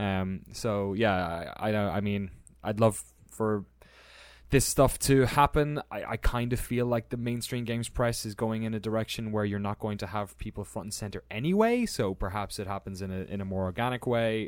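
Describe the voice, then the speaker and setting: In an Irish accent, a man with a fairly low pitch speaks at a moderate pace with fairly even intonation on a very clean recording with a silent background. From Ireland. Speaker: video game journalist and documentary maker. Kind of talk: casual chat.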